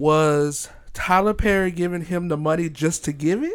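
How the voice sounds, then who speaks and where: In a very clean recording with a silent background, a man with a plain, everyday voice speaks fairly slowly at a fairly high pitch, his intonation fairly even. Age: 20s. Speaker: podcast co-host. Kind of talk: casual chat.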